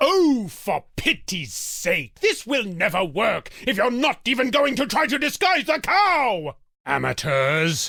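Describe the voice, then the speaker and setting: Put-on character voice, raised and projected, with very wide pitch swings, very even loudness, a fairly slow pace and hardly any pauses. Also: man, extremely high pitch for a man. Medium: video game. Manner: haughty, exasperated, theatrical.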